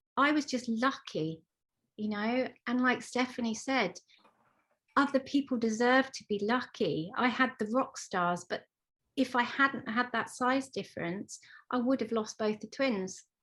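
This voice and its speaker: Speaking at a fairly slow pace, a woman with a southern English accent has a high pitch. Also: ordinary pitch variation. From Isle of Wight, England. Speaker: parent of twins, book author. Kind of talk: panel discussion.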